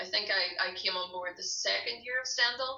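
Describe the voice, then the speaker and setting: Ordinary pitch variation at a moderate pace, with a Derry accent. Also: woman. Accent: Northern Irish (Derry). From Northern Ireland, Derry. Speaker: glassblower and breastfeeding counsellor. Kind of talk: interview conversation.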